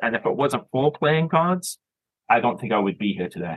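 An ordinary speaking voice with a Canadian accent moves at a fairly quick pace with lively intonation. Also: man. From Toronto, Canada (born in Scotland, moved young). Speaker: filmmaker. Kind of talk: casual interview.

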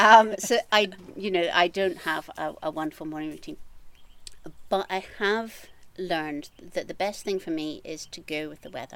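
A woman with a Scottish accent speaks at a moderate pace and medium pitch, with ordinary pitch variation and big swings in loudness. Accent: Scottish (Edinburgh area). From Scotland, east coast near Edinburgh. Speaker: gardener and creative coach. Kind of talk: casual interview chat. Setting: outdoors in her garden.

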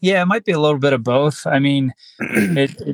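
A man speaks in an unremarkable speaking voice at a medium pitch and moderate pace, with ordinary pitch variation. The sound is dry and close, with no echo. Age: 30s. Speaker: bare knuckle fighter and police officer. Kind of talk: casual interview.

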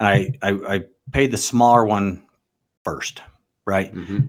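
This man has a fairly low pitch and an American accent. He speaks at a fairly slow pace with ordinary pitch variation. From Utah, US. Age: 40s. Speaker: car dealership owner. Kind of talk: casual interview.

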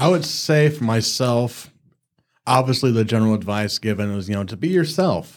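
An ordinary speaking voice at a moderate pace. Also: man, medium pitch for a man. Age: 40s. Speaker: associate pastor. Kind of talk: casual faith discussion.

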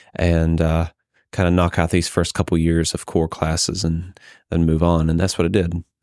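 A man speaks with a very deep, low pitch in a monotone, flat intonation at a moderate pace. His loudness stays very even in a very clean recording with a silent background. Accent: American. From US South, Georgia (Carrollton). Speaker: engineering professor. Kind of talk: interview.

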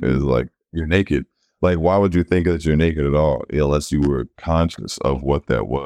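A man talks in a relaxed tone with a dark, mellow sound. His pitch is very deep and low, with ordinary variation. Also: moderate pace, very even loudness. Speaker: tattoo artist and model. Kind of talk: casual interview chat. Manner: relaxed, casual.

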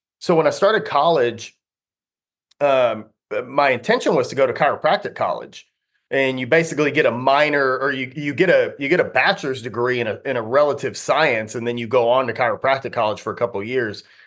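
The speaker has an American accent and a fairly quick pace. Pitch variation is ordinary, with a quiet background. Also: man, fairly high pitch for a man. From Texas, Sherman. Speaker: fitness coach and gym owner. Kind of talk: casual interview. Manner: animated, enthusiastic.

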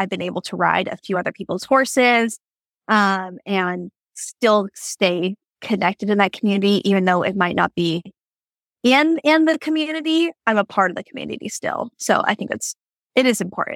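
Lively intonation marks a normal speaking voice with an American accent at a moderate pace. The sound is dry and close, with no echo. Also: woman. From Washington State. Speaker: barrel racer. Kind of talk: casual interview chat.

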